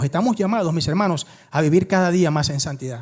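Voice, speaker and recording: Here a man is speaking. His pitch swings very widely. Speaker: pastor. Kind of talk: sermon. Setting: church. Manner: fast.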